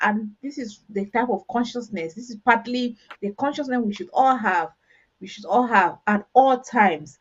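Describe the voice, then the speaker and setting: Speaking at a moderate pace with a strong Cameroonian accent, a woman has a fairly high, somewhat breathy voice and ordinary pitch variation. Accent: strong Ambazonian. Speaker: talk show host. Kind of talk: panel discussion.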